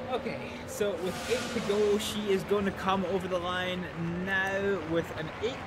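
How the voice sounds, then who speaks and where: Loud background noise runs under a woman talking at a fairly slow pace. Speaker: game streamer. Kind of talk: live race commentary while playing a game. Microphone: headset.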